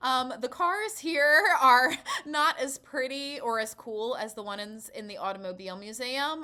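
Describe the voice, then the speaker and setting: An animated, bright and sharp voice comes through raised and projected. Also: woman. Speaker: travel vlogger. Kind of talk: travel vlog.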